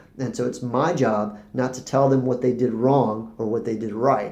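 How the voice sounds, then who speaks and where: This man has a dark, mellow tone. Room echo is audible around his voice. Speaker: spiritual teacher vlogger. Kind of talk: casual monologue to camera. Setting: recording to camera. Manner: fast when excited; hesitant, many fillers and repeats.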